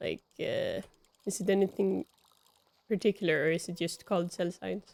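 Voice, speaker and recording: Speaking at a moderate pace, a woman talks with a Swedish accent. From Sweden. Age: 20s. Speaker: video game streamer. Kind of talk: casual chat. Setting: live stream. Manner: casual, rambling with fillers.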